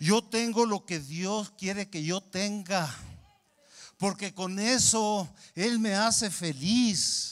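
Against a quiet background, the voice moves at a very slow pace with ordinary pitch variation. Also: man, high pitch for a man. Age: 60s. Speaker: pastor. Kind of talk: sermon. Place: church. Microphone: handheld.

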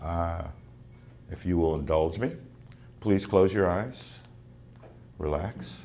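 A man speaks very slowly in a very deep, low voice with a dark, mellow tone and ordinary pitch variation. Long, frequent pauses break up his speech over light background noise. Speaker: actor. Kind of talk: workshop talk to teachers. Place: classroom. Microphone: camera far.

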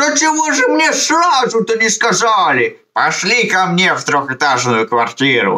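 In a cartoonish character voice, a man talks at a moderate pace in a high pitch, with hardly any pauses. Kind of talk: put-on elderly voice. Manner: grumbling, warm.

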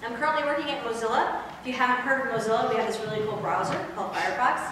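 Amid light background noise and strong room echo, a woman speaks with ordinary pitch variation. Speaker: conference presenter. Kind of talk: lecture. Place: hall. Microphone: camera far.

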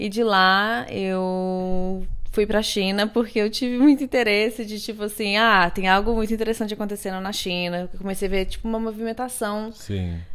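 A woman talks at a moderate pace with hardly any pauses. Her intonation is fairly even. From Brazil. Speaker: marketing professional and yoga teacher; yoga teacher. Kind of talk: casual chat. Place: home room.

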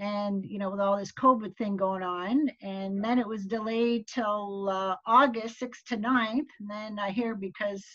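Fairly even intonation marks this speech. The delivery is fairly slow. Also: woman, quiet background. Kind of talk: casual group meeting chat. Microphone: video call.

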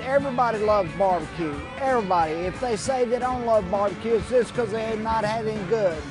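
Against clear background music, a man with a high voice talks at a fairly quick pace with ordinary pitch variation, the sound dry with no echo. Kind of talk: interview answer. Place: street. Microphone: lapel.

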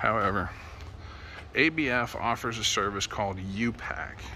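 The recording of this man has light background noise and a dry sound with no echo. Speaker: vlogger. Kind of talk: casual vlog chat. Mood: relaxed, amused. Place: street. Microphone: phone near.

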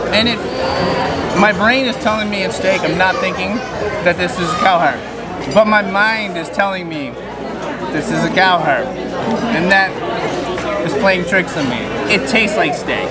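Over crowd noise, a man talks at a moderate pace with ordinary pitch variation and long, frequent pauses. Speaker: food travel vlogger. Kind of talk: casual vlog chat. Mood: nervous, then amused. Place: cafe. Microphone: phone near.

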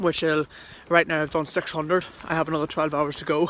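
The man's tone is bright and sharp. The sound is dry with no echo, over light background noise. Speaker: fitness vlogger. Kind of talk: casual vlog chat. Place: street. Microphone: phone near.

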